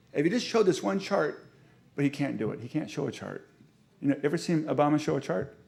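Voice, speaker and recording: Using lively intonation and vocal fry, a man speaks at a very fast pace. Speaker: urban planning professor. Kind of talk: lecture. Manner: animated.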